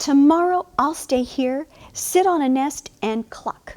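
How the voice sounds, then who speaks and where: A woman's put-on character voice, high in pitch and fairly slow, in a dry, close sound with no echo. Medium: read story.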